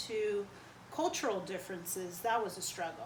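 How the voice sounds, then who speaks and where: A woman with an American accent speaks at medium pitch and a moderate pace. Noticeable background noise and audible room echo come through. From US Northeast, New Jersey (Perth Amboy), Cuban family. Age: 40s. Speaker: interviewee. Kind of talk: interview. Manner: hesitant, many fillers.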